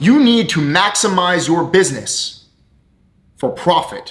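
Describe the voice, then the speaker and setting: A man is shouting, loud, with a bright, sharp tone. His intonation is lively. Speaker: business coach and entrepreneur. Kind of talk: motivational rant to camera. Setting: talking to camera. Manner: loud, yelling; animated.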